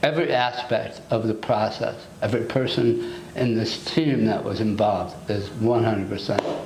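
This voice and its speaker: A man talks at a moderate pace and medium pitch, with ordinary pitch variation. There is audible room echo and noticeable background noise. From United States. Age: 60s. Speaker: dental patient. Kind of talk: testimonial interview. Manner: halting, with repetitions.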